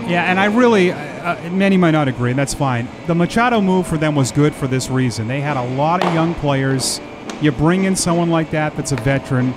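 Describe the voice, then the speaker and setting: A man talks fairly quickly at a fairly high pitch. His intonation is lively, with noticeable background noise behind him. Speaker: baseball broadcaster. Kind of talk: live sports commentary, relaxed play-by-play with analysis. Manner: conversational, casual.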